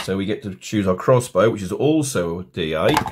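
Someone speaks at a fairly slow pace in an English accent over light background noise. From England. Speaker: tabletop game tutorial maker. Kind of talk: tutorial.

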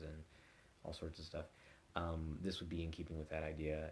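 A man's very deep, low voice, somewhat breathy and monotone with flat intonation, over light background noise. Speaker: vlogger. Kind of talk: casual vlog chat. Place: home room. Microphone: phone near.

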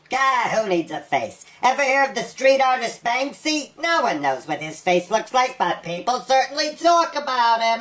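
In a cartoonish character voice, a female-sounding speaker talks at a high pitch and a moderate pace. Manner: smooth, schmoozy.

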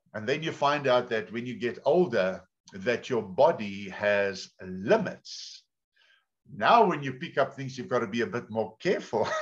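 Against a quiet background, a man with a South African accent talks at a fairly slow pace, his intonation lively. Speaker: pastor. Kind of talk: sermon. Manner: animated. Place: home room. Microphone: video call.

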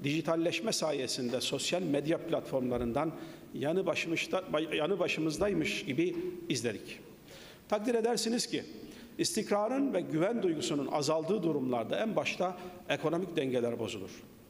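A man at a moderate pace, his pitch swinging very widely. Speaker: speaker. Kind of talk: formal speech. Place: hall. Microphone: podium.

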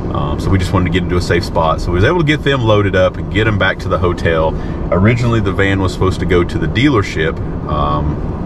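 Amid loud background noise, a man speaks at a very fast pace with ordinary pitch variation, the sound dry with no echo. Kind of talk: casual vlog chat. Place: car. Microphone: camera far.

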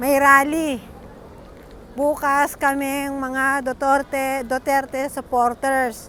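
The speech comes very slowly, with a bright, sharp tone and monotone, flat intonation. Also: woman, high pitch for a woman. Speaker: vlogger commenting on a rally. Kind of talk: angry rant at critics, sarcastic and combative, while commenting on a rally. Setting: outdoors at a rally, filming on the spot. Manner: loud, fiery and confrontational, snapping at 'bashers' with threats and jabs.

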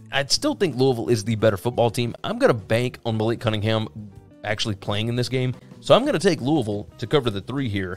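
A man rattles along at a very fast pace, his pitch varying in an ordinary way, with music in the background. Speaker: sports betting analyst. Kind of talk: commentary. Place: home room.

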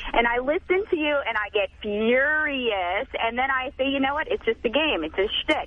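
Over noticeable background noise, a woman with a high pitch talks at a moderate pace with lively intonation and hardly any pauses. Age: 40s. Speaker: caller. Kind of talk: heated debate. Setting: phone call.

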